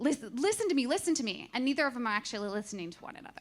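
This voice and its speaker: With lively intonation, a woman talks in a high pitch. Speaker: conference speaker. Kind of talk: presentation talk. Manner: fast; halting.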